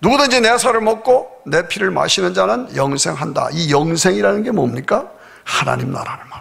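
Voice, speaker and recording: This man's voice sits high in pitch and swings very widely up and down, with big jumps in loudness. He talks at a moderate pace. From South Korea. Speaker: pastor. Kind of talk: sermon. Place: church. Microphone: podium.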